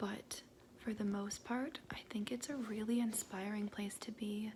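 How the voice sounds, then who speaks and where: A soft-spoken whisper at a fairly slow pace. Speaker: ASMR creator; mental health worker. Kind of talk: ASMR affirmations. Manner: soft-spoken, semi-whispered.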